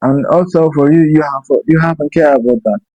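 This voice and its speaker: A man speaks with a non-native accent and a dark, mellow tone. The sound is dry and close with no echo, and his pitch varies in an ordinary way. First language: Somali. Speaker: YouTuber. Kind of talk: casual monologue. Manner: halting.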